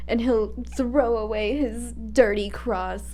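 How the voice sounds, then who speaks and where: A woman's fairly slow speech over background music. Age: 20s. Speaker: ex-Jehovah's Witness commentator. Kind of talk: casual talk to camera, movie reaction.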